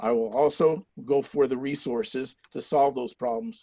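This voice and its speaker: Against a quiet background, a man talks at a moderate pace in a fairly high pitch. His is a plain, everyday voice. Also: dry, close sound with no echo. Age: 60s. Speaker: retired teacher, city council candidate. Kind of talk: campaign closing statement. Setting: virtual candidate forum.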